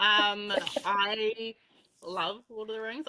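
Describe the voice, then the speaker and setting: A woman speaks in a plain, everyday voice. Her pitch is medium and her intonation fairly even. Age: 20s. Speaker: podcast co-host, nurse. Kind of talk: casual chat.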